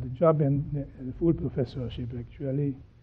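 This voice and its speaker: Fairly slow and medium in pitch, a man speaks. His intonation stays fairly even. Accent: Hungarian. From Transylvania, Romania (Hungarian). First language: Hungarian. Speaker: pharmaceutical scientist, professor. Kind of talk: interview. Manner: halting, with fillers.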